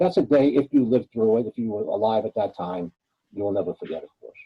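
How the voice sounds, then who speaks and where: The voice is somewhat breathy and fairly quick, with lively intonation and big swings in loudness. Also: man. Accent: New York. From New York City, Little Italy. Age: 70s. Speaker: retired police detective and author. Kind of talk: interview.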